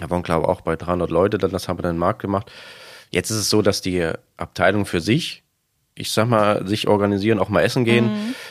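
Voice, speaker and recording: With fairly even intonation, a man races through his words at a very fast pace. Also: fairly low pitch for a man, very clean recording, silent background. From eastern Germany. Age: 30s. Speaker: supermarket manager. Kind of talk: interview.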